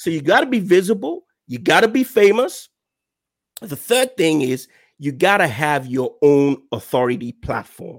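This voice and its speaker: The recording is very clean, with a silent background. A man with a fairly high pitch speaks at a moderate pace, making very wide pitch swings. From Nigeria. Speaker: online marketing consultant. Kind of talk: interview on a business podcast.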